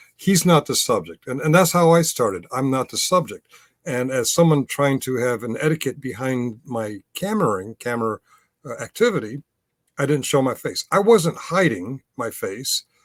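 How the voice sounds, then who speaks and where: A man speaks in a fairly high pitch with very wide pitch swings. The sound is dry and close, with no echo. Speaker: YouTube commentator and camera auditor. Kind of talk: pre-recorded solo commentary. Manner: fast; hesitant, many fillers.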